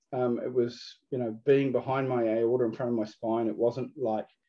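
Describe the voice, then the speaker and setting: A man speaks with a New Zealand accent at a moderate pace and medium pitch. His intonation stays monotone and flat. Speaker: food business owner. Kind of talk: interview. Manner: hesitant, many fillers and repeats.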